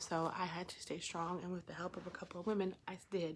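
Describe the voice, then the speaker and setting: A woman at medium pitch with monotone, flat intonation and a moderate pace. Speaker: vlogger in addiction recovery. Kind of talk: personal testimony vlog. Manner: loud (usually); subdued, many filler ums.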